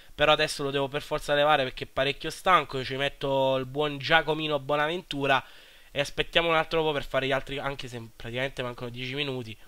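A man talks at a very fast pace in a flat monotone. His pitch sits fairly high. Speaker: gaming YouTuber. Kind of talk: gameplay commentary.

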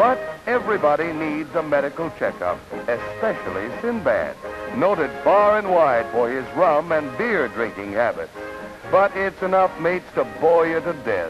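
The pace is moderate. Clear music plays in the background. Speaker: newsreel narrator. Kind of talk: 1940s newsreel narration. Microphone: old recording.

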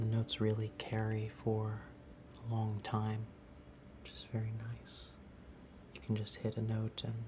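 At a moderate pace, a man speaks in a monotone, flat intonation with a fairly low pitch, a dark, mellow tone, and a somewhat breathy quality, against noticeable background noise. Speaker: music store demonstrator. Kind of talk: tutorial. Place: shop.

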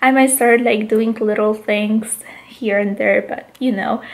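Fairly slow woman's voice in a Polish accent, with fairly even intonation. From Poland. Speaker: vlogger. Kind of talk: casual vlog. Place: home room. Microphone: phone near.

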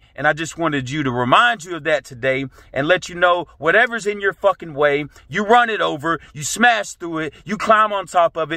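A man talks at a fairly quick pace with lively intonation and an intense tone, his voice dry with no echo against a quiet background. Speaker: motivational vlogger. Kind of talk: motivational pep talk. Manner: intense, profane, fired-up and punchy; emphatic, repetitive hammering of key phrases. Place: car. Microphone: phone near.

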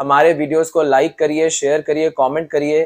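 This man talks at a fairly quick pace, his pitch fairly high and his tone slightly mellow.

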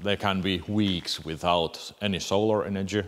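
Speaking at a very slow pace, a man with a Finnish accent has a fairly low pitch. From Finland. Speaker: boat builder; boat builder vlogger. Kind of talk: casual Q&A vlog. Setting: boat building workshop. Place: tent.

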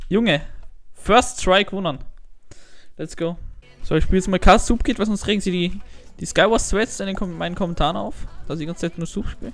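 With music in the background, a man speaks fairly quickly in a high voice with ordinary pitch variation, broken by long, frequent pauses. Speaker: gaming YouTuber. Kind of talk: casual gameplay commentary.

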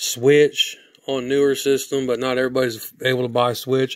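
At a fairly slow pace, a man talks at a medium pitch with little pitch movement.

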